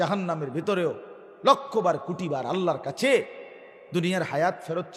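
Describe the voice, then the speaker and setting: A man's high-pitched voice rises and falls with lively intonation while noticeable background noise carries on around him. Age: 40s. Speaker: Islamic preacher. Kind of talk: sermon. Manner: animated.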